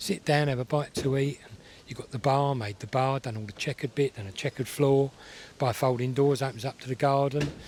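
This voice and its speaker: A somewhat breathy man at medium pitch talks at a fairly quick pace, his loudness swinging widely. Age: 60s. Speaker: classic car event visitor. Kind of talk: casual interview chat. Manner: fast; animated.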